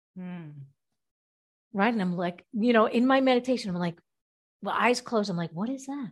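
A woman speaks at a moderate pace with ordinary pitch variation. Her voice is somewhat breathy, broken by long, frequent pauses. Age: 50s. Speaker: health educator. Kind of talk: interview. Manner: animated.

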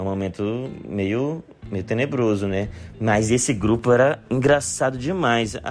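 A man speaks at a medium pitch in a plain, everyday voice, with ordinary pitch variation. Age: 30s. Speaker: comedian. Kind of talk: recorded monologue answering questions.

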